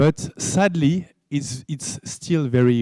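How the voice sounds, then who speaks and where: A man speaks very slowly with a French accent, his tone dark and mellow and his intonation lively. The sound is dry and close, with no echo. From France. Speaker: game studio founder. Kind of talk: conference talk.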